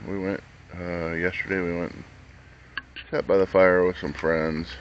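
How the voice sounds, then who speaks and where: A man with a very deep, low pitch speaks in a flat monotone at a moderate pace, with big swings in loudness. Noticeable background noise runs underneath. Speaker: vlogger. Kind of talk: casual vlog talk. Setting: campground, camper bus. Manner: talking low so others can sleep.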